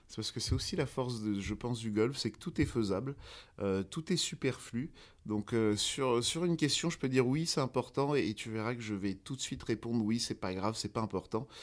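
On a very clean recording with a silent background, a man has a plain, everyday voice at a medium pitch with ordinary pitch variation. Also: moderate pace. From France, Paris. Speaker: golf instructor. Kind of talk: interview.

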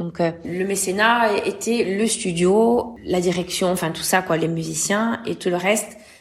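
Against noticeable background noise, a woman talks at a very slow pace with a medium pitch and fairly even intonation. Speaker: singer and actress. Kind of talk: interview.

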